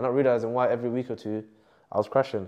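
A man in a London accent at a medium pitch, against a quiet background. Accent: London multicultural English. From West London. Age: 20s. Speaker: content creator. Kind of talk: casual interview. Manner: animated. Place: studio. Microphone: lapel.

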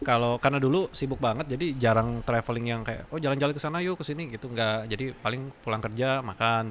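Fairly quick speech with ordinary pitch variation over light background noise. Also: man. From West Java, Indonesia. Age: 30s. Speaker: aesthetic doctor; guest. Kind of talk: casual chat. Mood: relaxed, joking. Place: studio. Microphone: studio mic.

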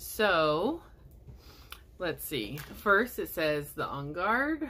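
Light background noise accompanies a woman speaking at a very slow pace. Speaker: video blogger and essential oils seller; product seller. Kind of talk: product unboxing video. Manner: casual, filler-heavy. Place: home room. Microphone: phone near.

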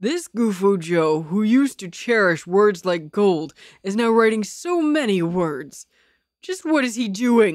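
A put-on character voice that sounds female, pitched in the middle for a woman and delivered at a fairly slow pace.

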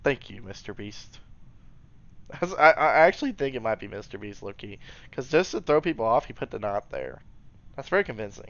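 A man with a medium-pitched voice talks at a moderate pace, with very wide pitch swings and big swings in loudness. Long, frequent pauses break it up, and the sound is dry with no echo. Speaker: gaming commentator. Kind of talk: gameplay commentary. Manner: animated; occasional mispronunciations. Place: home room.

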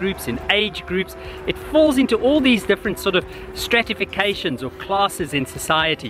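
A man at a moderate pace, dry sound with no echo and faint music in the background. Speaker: researcher vlogger. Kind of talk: casual vlog reflection. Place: open country. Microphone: phone near.

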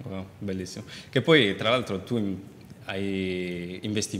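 Here is a man with an unremarkable speaking voice, fairly low in pitch, talking at a moderate pace with fairly even intonation. Light background noise can be heard. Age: 20s. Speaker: talk show host. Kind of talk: interview. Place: studio. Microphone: lapel.

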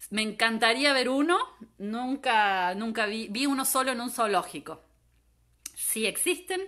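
Against a quiet background, a woman's fairly high, bright and sharp voice moves with lively intonation. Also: fairly slow pace. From Argentina, Córdoba; Argentina. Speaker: environmental geographer giving a talk. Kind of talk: online lecture. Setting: Facebook Live from home. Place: home room. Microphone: phone near.

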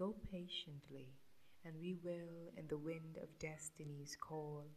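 A woman with a very deep, low pitch speaks in a somewhat breathy, monotone, flat way at a very slow pace over light background noise. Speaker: poetry reciter. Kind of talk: poetry reading. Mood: tender, romantic, expressive. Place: home room. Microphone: studio mic.

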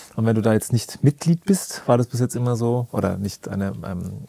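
A man speaks in a dark, mellow tone at a moderate pace. His intonation is fairly even, and the sound is dry with no echo. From Lower Franconia, Germany (Bad Kissingen, Rhön); Bavaria, Germany. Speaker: pianist, producer and TV show music director; podcast host or guest. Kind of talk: casual interview. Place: studio.

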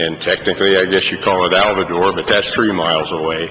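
A man speaks at a moderate pace with a very deep, low pitch and fairly even intonation. Noticeable background noise runs behind him. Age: 80s+. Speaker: farmer speaking at public hearing. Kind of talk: public comment at hearing. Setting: public hearing with audience.

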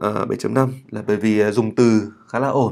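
A man speaks with ordinary pitch variation on a very clean recording with a silent background. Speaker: English writing teacher. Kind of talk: tutorial. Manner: hesitant with many fillers.

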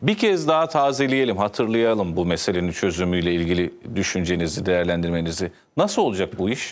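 Speaking at a fairly quick pace, a man with a very deep, low pitch uses lively intonation while keeping his loudness very even. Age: 30s. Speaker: TV talk show host. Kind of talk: TV interview. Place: studio.

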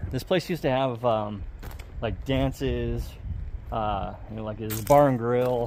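A man's voice over light background noise. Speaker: explorer vlogger. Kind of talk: casual vlog chat. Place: street. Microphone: phone near.

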